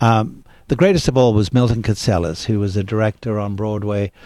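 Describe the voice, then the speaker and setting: Over a very clean recording with a silent background, a man with an Australian accent talks at a fairly quick pace in a dark, mellow tone, with fairly low pitch and fairly even intonation. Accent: British-sounding Australian. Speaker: actor. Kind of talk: interview. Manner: storytelling.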